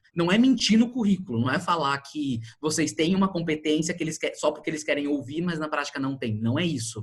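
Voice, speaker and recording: Here a man talks at a fairly quick pace with a fairly high pitch. His intonation is lively. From Brazil, São Paulo. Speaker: HR recruiter. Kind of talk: online talk / workshop. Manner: fast.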